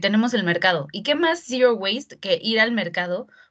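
A woman's fairly quick speech with lively intonation over noticeable background noise. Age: 20s. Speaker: zero-waste blogger. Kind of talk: casual interview.

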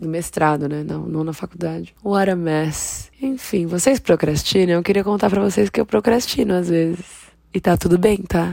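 With a Brazilian accent, a woman speaks at a moderate pace in a fairly low voice with ordinary pitch variation. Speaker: podcaster. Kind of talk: casual monologue. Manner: animated.

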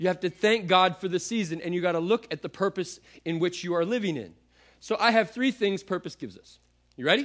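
Animated and very fast, a man speaks in a high pitch with big swings in loudness. His pitch variation is ordinary. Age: 30s. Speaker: pastor. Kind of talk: sermon. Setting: church with congregation.

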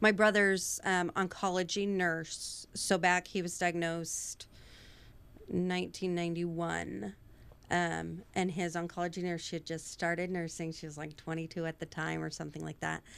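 In an American accent, a plain, everyday voice moves at a moderate pace with fairly even intonation over a very clean recording with a silent background. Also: woman, fairly low pitch for a woman. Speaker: nonprofit founder and teacher. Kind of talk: casual chat.

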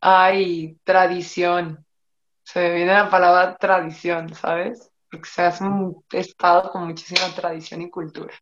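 With a Mexican accent, a woman speaks fairly slowly at a fairly low pitch, her intonation monotone and flat while her loudness swings widely. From Mexico. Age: 30s. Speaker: Olympic fencer. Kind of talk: interview.

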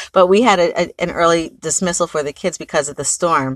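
A woman speaks at a fairly low pitch with fairly even intonation. The sound is dry and close with no echo, over a quiet background. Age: 40s. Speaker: photographer and business owner. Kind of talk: casual monologue. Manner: halting.

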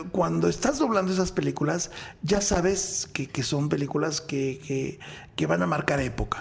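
Fairly high male speech full of very wide pitch swings, noticeable background noise behind it. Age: 50s. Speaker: voice actor. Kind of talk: interview.

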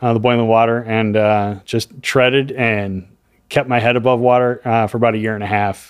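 An unremarkable speaking voice from a man at a moderate pace. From US Midwest, Chicago. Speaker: audio equipment manufacturer rep, acoustician. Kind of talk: casual interview chat.

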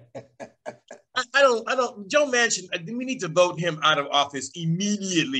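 A man's raised, projected voice, high in pitch and bright and sharp in tone, with lively intonation at a fairly slow pace. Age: 60s. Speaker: podcast host. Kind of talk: casual chat. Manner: animated.

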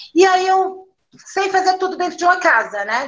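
This woman's voice has a bright, sharp tone. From São Paulo periphery. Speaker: craft brewer. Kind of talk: casual interview.

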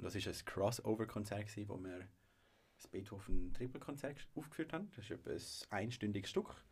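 At a moderate pace, a man with a medium-pitched, somewhat breathy voice shows ordinary pitch variation and big swings in loudness. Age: 20s. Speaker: music association president and business student. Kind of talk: casual chat.

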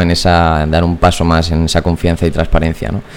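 Very deep, low male voice against noticeable background noise. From Puertollano, Ciudad Real, Spain. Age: 20s. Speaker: startup founder. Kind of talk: interview. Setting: studio.

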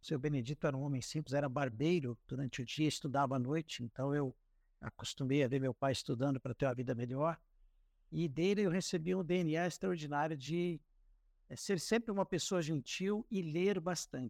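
A man with a normal speaking voice talks at a moderate pace and fairly high pitch with ordinary pitch variation, recorded dry and close with no echo, very clean with a silent background. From Paraná, Brazil (Cascavel). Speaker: communications director. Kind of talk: interview.

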